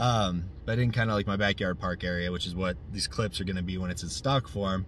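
Over light background noise, a man talks fairly quickly at a fairly low pitch with ordinary variation, the sound dry with no echo. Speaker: RC car hobbyist reviewer. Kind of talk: casual vlog chat. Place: car. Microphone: phone near.

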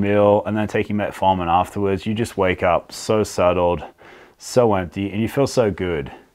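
A man with a fairly low pitch speaks against a quiet background. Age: 40s. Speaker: health vlogger. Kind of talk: casual vlog monologue. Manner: animated. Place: studio. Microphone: lapel.

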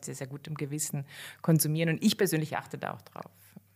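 In a very clean recording with a silent background, a woman speaks in a very deep, low pitch with vocal fry and monotone, flat intonation. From western Germany, near Cologne. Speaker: veterinarian. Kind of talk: interview.

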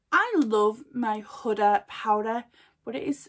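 A woman's fairly high voice with a British accent, at a very slow pace. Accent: dropped H sounds, regional British. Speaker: beauty vlogger. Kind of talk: casual product haul. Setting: at home desk, filming video. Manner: casual, chatty, filler words. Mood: chatty, enthusiastic. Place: home room. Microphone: phone near.

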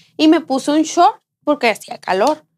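A woman speaks at a moderate pace. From Sinaloa, Mexico. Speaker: podcast co-host. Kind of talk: casual chat. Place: studio.

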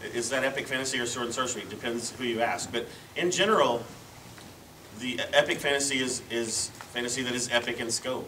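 A man talks at a very fast pace. His intonation is fairly even, with light background noise. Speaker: panelist. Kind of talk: panel discussion answer. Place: hall. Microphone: camera far.

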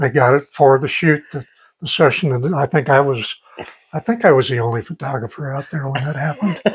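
Against a quiet background, a somewhat breathy man speaks at a fairly quick pace with ordinary pitch variation. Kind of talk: interview answer. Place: office. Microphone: lapel.

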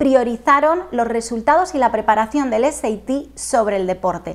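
A woman with a high pitch speaks at a moderate pace, her pitch varying in an ordinary way. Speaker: presenter. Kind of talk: scripted presentation. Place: home room. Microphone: lapel.

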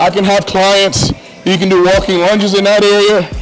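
Faint music plays in the background as a man speaks at a high pitch. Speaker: gym owner or coach. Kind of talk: walkthrough commentary. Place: gym. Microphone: lapel.

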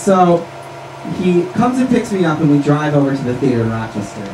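Noticeable background noise runs beneath a man talking at a fairly quick pace. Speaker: storyteller. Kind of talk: stage patter, comic storytelling. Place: stage.

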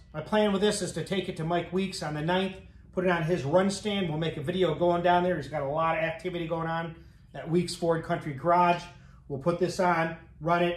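In a room with audible echo, a man with a high pitch talks at a fairly quick pace in a monotone, flat way. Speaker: garage channel host. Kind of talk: casual vlog chat. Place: garage. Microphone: camera far.

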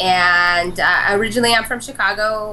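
A woman speaks at a fairly slow pace in a bright, sharp tone. There is light background noise. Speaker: remote guest. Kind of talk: interview answer. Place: office.

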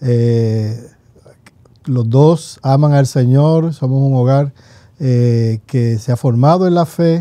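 Against a quiet background and with a dry sound with no echo, a man with a dark, mellow tone and a medium pitch speaks at a very slow pace with ordinary pitch variation. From Puerto Rico (rural, Morovis); Puerto Rico. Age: 50s. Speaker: pastor and theology professor; pastor, theology professor. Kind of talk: casual theological conversation. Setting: seminary library studio. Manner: halting, many repetitions. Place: studio. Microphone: studio mic.

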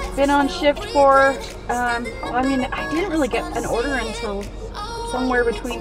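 Clear music plays in the background while a woman speaks. Her voice sounds dry, with no echo. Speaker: food delivery driver vlogger. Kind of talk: casual vlog chat. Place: car. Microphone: phone near.

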